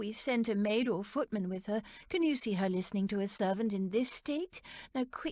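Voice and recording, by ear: This is reading aloud in a natural voice. The text is read aloud.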